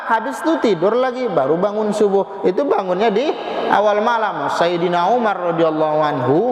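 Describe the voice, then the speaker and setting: A man with a high pitch talks at a moderate pace with lively intonation. There is audible room echo and noticeable background noise. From Medan, North Sumatra. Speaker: preacher. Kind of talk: sermon. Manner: animated.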